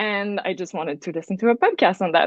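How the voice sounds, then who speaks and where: A woman with a Quebec accent and a medium pitch. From Quebec, Canada. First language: French. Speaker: astrology student, program alum. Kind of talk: podcast conversation. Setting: remote call. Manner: casual, many fillers.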